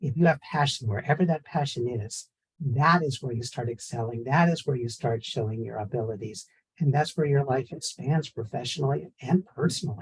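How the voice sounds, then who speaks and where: With an American accent, a man talks at a fairly quick pace, somewhat breathy, at medium pitch with ordinary variation. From San Francisco, US. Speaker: professor. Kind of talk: panel discussion.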